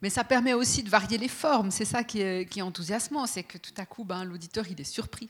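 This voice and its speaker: Her voice somewhat breathy and medium in pitch, a woman speaks at a fairly quick pace with hardly any pauses, ordinary pitch variation and big swings in loudness. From Fribourg, Switzerland. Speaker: radio journalist. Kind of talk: panel talk with host. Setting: stage with audience.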